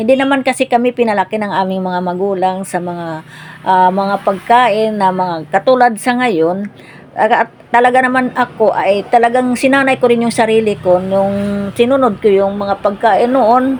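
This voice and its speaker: Noticeable background noise runs beneath a woman speaking at a fairly high pitch. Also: ordinary pitch variation, moderate pace. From Philippines, provinces. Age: 60s. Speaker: cooking vlogger. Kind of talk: casual cooking vlog chat.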